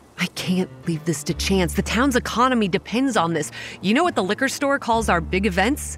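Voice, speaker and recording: Against music in the background, a woman speaks at a moderate pace and a medium pitch, with very wide pitch swings and very even loudness. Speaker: voice actress playing narrator Kate. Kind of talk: horror fiction narration. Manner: hushed, brooding first-person storytelling, grave and measured, with dread building.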